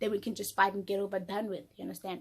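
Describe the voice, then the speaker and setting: A woman sounds somewhat breathy in a very clean recording with a silent background. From South Africa. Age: 20s. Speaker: YouTuber. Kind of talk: storytelling. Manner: fast.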